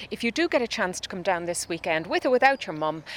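A woman speaks in an Irish accent. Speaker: radio host. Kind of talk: radio interview. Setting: outdoors in a garden; studio.

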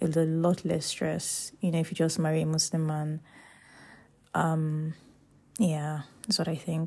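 Delivery is fairly slow and somewhat breathy, monotone and flat, broken by long, frequent pauses. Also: woman, very deep, low pitch for a woman. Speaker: podcast host. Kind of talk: casual monologue. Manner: informal, unedited with laughs.

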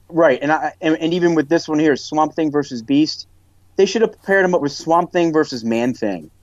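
A man's plain, everyday voice moves at a fairly quick pace, its pitch varying in an ordinary way. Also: fairly high pitch for a man. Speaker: podcast co-host.

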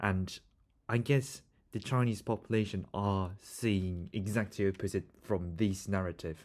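At a fairly slow pace, a man with a fairly low voice speaks with a Korean accent, fairly even intonation and very even loudness. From South Korea. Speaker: podcast host and student interviewer. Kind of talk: casual interview conversation.

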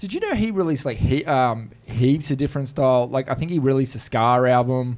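In an Australian accent, a man talks at a fairly quick pace with hardly any pauses, at a medium pitch with ordinary pitch variation. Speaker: podcast host. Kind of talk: casual chat. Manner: jokey, laughs a lot.

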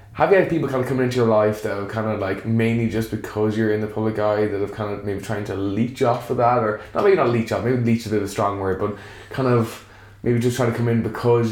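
A man with a Galway accent talks at a very fast pace, his pitch fairly low and intonation fairly even. Noticeable background noise runs underneath. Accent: Irish, Galway. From Galway, Ireland. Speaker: podcast host. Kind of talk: casual interview chat.

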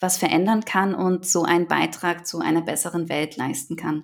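A woman's normal speaking voice, with fairly even intonation at a moderate pace. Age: 20s. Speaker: environmental NGO program manager and startup co-founder. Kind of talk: interview.

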